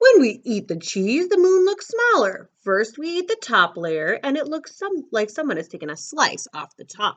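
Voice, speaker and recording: A female-sounding put-on character voice, high in pitch, moves at a moderate pace. It runs on with hardly any pauses. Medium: read story. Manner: friendly, jolly.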